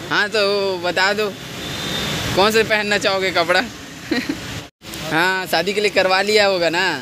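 Long, frequent pauses in a dry sound with no echo, over noticeable background noise. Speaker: vlogger. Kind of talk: casual vlog chat. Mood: playful, joking. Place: shop. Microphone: phone near.

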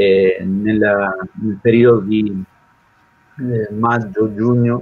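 At a very slow pace, a man talks in a fairly low pitch. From southern Italy (Calabria). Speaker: missionary priest. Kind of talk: testimony. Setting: video call. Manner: halting. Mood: serious, reflective. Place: home room. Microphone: video call.

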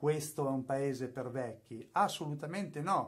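The setting is quiet. A man speaks at a moderate pace. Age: 50s. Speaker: YouTuber and music producer; YouTuber. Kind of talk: tutorial. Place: studio.

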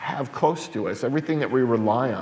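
A man speaks at a fairly quick pace with lively intonation. Audible room echo surrounds his voice. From New York. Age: 40s. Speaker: pastor. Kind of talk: public talk. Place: church.

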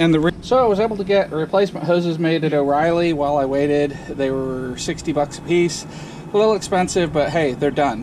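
A man's fairly quick speech, with ordinary pitch variation, comes through noticeable background noise. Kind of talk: casual repair narration. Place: garage. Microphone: phone near.

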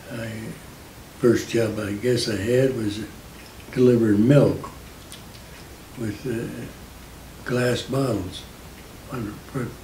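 With an American accent, the speaker goes at a very slow pace in a monotone, flat delivery broken by long, frequent pauses, with audible room echo and light background noise. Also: man. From Indiana. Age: 80s+. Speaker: war veteran. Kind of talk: interview answer. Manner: hesitant, halting. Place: home room.

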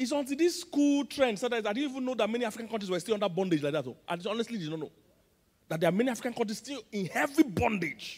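Against a quiet background, a man talks at a very fast pace in an extremely high pitch. His intonation is lively and his tone animated. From Nigeria. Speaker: pastor. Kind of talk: sermon. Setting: church. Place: hall. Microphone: handheld.

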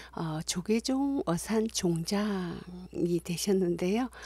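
A woman's medium-pitched, somewhat breathy voice, warm and dark, mellow in tone, with ordinary pitch variation, in a very clean recording with a silent background. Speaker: university lecturer in music. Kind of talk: video introduction. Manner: warm and friendly.

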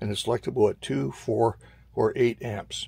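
A man's fairly slow speech with vocal fry and lively intonation, dry sound with no echo. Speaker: radio hobbyist showing his gear. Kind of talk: casual vlog tutorial. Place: home room. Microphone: phone near.

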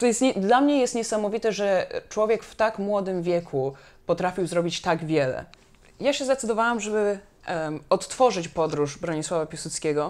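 Lively intonation and big swings in loudness mark this moderate-paced speech. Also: woman. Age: 30s. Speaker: anthropologist and history project founder; interview guest. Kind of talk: interview conversation. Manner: hesitant, many fillers. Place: home room. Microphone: lapel.

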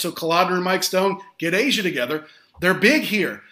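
A man with an American accent speaks at a moderate pace, his high pitch carrying ordinary variation and a bright, sharp tone. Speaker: podcast host. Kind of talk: casual chat.

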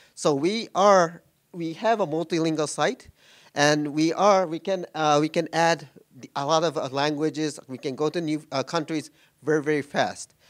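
Fairly high-pitched man with a Japanese accent and fairly even intonation, over a quiet background. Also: moderate pace. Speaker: tech executive. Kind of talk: conference talk. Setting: stage with audience. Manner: halting, many fillers. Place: meeting room.

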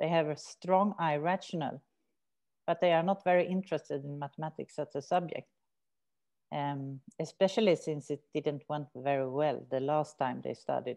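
Swedish accent with a dark, mellow tone, ordinary pitch variation, a moderate pace and a quiet background. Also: woman, very deep, low pitch for a woman. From Sweden. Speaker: researcher and prison maths teacher. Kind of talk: academic seminar talk. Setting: video call. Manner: hesitant with fillers. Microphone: video call.

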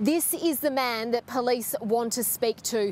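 The woman's voice is high-pitched, and the sound is dry with no echo. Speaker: news reporter. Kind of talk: live news report. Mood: serious, measured. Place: street. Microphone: handheld.

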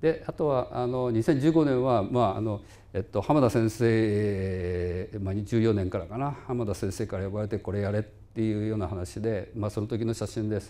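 Fairly low-pitched with a dark, mellow tone, a man talks at a moderate pace with ordinary pitch variation and hardly any pauses. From Japan. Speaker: physics professor. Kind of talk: lecture. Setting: lecture hall with small audience, livestreamed. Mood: relaxed, reminiscing. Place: hall.

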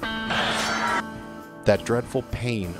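Music plays in the background as a man speaks. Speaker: voice-over narrator. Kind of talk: movie trailer. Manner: dark, ominous.

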